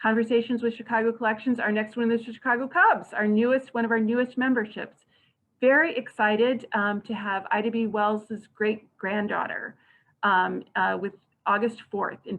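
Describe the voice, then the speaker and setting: Talking at a fairly quick pace, a woman speaks with a fairly high pitch. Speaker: librarian and board chair hosting a meeting. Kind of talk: closing remarks at a virtual annual meeting. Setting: online virtual meeting. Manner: fast.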